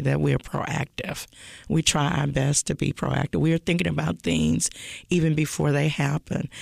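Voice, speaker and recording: A woman speaks at a moderate pace with vocal fry. The recording is very clean, with a silent background and a dry, close sound with no echo. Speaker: school board president.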